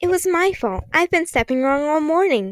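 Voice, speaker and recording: In a put-on character voice, a woman speaks at an extremely high pitch with very wide pitch swings and very even loudness. Her moderate pace comes through a dry, close sound with no echo. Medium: read story.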